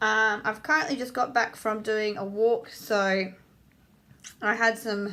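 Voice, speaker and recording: A woman with a fairly high pitch and bright, sharp tone, fairly even intonation, fairly slow pace. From Australia. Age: 30s. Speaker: apprentice hairdresser. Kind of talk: casual talk to camera.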